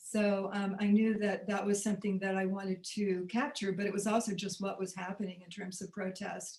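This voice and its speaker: A woman with an American accent speaks at a moderate pace in a somewhat breathy, medium-pitched voice with flat, monotone intonation. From US South, Birmingham, Alabama. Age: 70s. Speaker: documentary filmmaker and activist. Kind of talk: interview. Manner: halting, many fillers.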